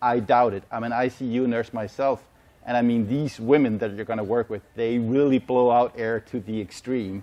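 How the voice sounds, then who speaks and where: In a Danish accent, a man speaks with flat, monotone intonation. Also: medium pitch for a man, moderate pace. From Denmark. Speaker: medical sales manager and ICU nurse. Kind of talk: conference presentation. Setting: symposium with live audience.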